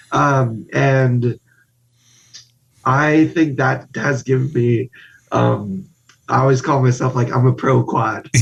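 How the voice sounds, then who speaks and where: A man speaks at a medium pitch, very slowly, with long and frequent pauses. His intonation stays fairly even, and music plays in the background. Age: 30s. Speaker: guest, spinal cord injury survivor. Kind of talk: casual interview chat.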